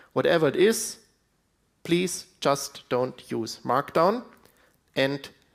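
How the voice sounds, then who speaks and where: With vocal fry, a man's fairly high voice makes very wide pitch swings. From Switzerland. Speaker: conference speaker. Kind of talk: conference talk.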